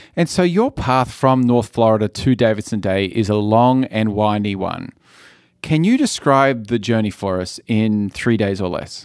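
A man's ordinary speaking voice at a medium pitch and moderate pace, with ordinary pitch variation, in a very clean recording with a silent background. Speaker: school head and podcast host. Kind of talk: interview questions, host.

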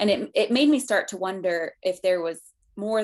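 An unremarkable speaking voice talks with an American accent at a moderate pace. The background is quiet. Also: woman. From Colorado. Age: 20s. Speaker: book publicist. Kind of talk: interview.

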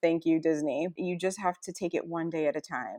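The sound is dry and close, with no echo. A woman talks at a fairly quick pace. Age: 40s. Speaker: stay-at-home mom sharing weight loss story. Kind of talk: interview, personal testimony.

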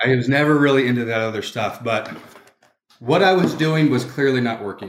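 His pitch shows ordinary variation. The man talks at a moderate pace. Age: 30s. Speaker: police or military sergeant sharing recovery story. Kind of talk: testimony. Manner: choked up, emotional.

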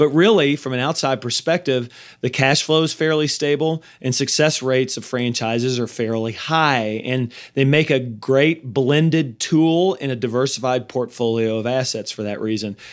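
On a very clean recording with a silent background, a man in a normal speaking voice talks at a moderate pace and medium pitch, with ordinary pitch variation and hardly any pauses. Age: 40s. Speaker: podcast host, M&A advisor. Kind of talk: solo podcast monologue on finance.

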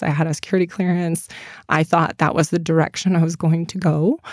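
A woman's plain, everyday voice, fairly low-pitched with an American accent, at a fairly quick pace, dry and close with no echo on a very clean recording with a silent background. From US Midwest, Michigan. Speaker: apparel company founder, military veteran. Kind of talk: casual interview.

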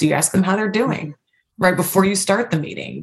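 A somewhat breathy woman's voice at medium pitch, with lively intonation. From Louisville, Kentucky. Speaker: corporate diversity and inclusion leader. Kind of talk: interview.

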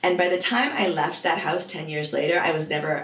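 A woman with an American accent at a fairly low pitch, fairly quick with ordinary pitch variation, over noticeable background noise. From US Northeast (Vermont). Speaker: life coach. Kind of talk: interview.

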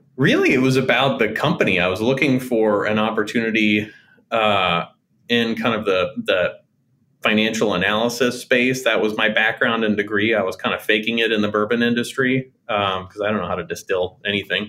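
A man with an American accent and an unremarkable speaking voice talks at a fairly quick pace, at a medium pitch with fairly even intonation. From Oklahoma City, US. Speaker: health insurance company co-founder. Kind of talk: interview.

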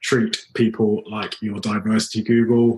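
Speaking with a British accent, a man uses a medium pitch at a moderate pace. His voice is somewhat breathy. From UK. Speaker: project manager. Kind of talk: interview answer.

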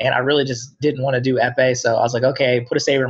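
This man speaks at a very fast pace, his pitch medium. His voice sounds somewhat breathy. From US Midwest (Dayton area, Ohio). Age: 30s. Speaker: wheelchair fencer and police officer. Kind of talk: interview.

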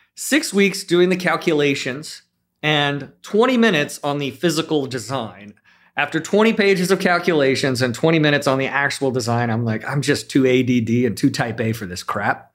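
Lively intonation and a moderate pace mark this voice with an American accent, captured in a very clean recording with a silent background. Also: man, fairly high pitch for a man. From US West Coast, South Bay of Los Angeles. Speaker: general contractor. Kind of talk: casual chat.

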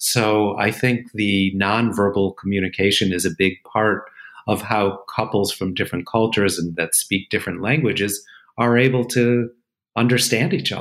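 In a very clean recording with a silent background, a man speaks in a normal speaking voice, fairly low in pitch, with fairly even intonation. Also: moderate pace. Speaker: therapist podcast host. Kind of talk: casual conversation.

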